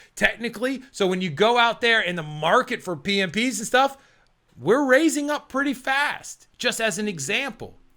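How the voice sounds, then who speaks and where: A man projects his voice, raised and loud. His tone is bright and sharp. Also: very clean recording, silent background. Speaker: PMP exam coach. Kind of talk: motivational talk to camera. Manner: casual, filler words.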